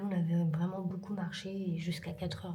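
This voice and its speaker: Soft-spoken, a woman uses a medium pitch at a moderate pace, with audible room echo and noticeable background noise. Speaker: vlogger. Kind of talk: casual vlog to camera. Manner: soft-spoken, hushed.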